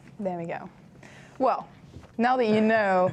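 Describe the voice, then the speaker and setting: A woman speaks with a British accent. Her pitch is fairly high and varies in an ordinary way. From France. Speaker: student TV host. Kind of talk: live student TV show hosting. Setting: studio.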